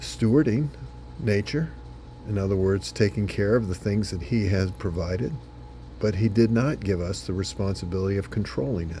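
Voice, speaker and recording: Music plays behind a man with a fairly low pitch. He speaks at a moderate pace, his pitch swinging very widely. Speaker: senior pastor. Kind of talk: short devotional sermon.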